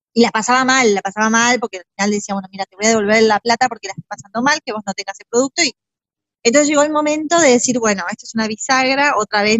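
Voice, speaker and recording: A woman talks at a very fast pace. Her fairly high voice shows ordinary pitch variation. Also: big swings in loudness. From Argentina, Buenos Aires province. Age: 40s. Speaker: stylist and decorator. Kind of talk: interview.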